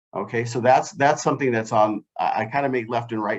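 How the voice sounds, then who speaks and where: With fairly even intonation, a plain, everyday voice speaks at a fairly quick pace. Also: man. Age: 60s. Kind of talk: panel discussion. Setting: video call.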